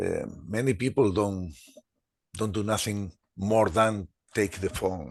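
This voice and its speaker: A man with a Spanish accent talks at a fairly slow pace. The background is quiet. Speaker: webinar participant, health technology expert. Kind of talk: webinar discussion. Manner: halting.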